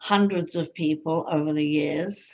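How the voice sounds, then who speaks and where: A woman with a fairly low pitch and ordinary pitch variation speaks over a quiet background. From London, England. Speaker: hypnotherapist and life coach. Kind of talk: interview. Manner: halting.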